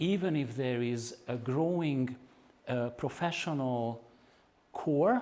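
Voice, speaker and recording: In a Hungarian accent, a man talks at a fairly slow pace with a medium pitch, ordinary pitch variation and a dark, mellow tone. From Hungary, Budapest. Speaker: activist and researcher. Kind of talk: lecture. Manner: halting, with fillers.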